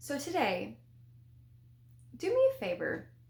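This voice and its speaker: A woman speaks with a Southern US accent. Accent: Southern, slurred words, lazy tongue. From US South. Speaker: spiritual development vlogger. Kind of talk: casual vlog talk to camera. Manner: casual, conversational.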